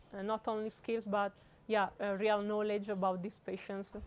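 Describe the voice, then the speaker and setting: This woman speaks with an Italian accent. Her intonation is monotone and flat. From Italy. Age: 20s. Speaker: medical student. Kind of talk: interview answer. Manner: hesitant, many fillers.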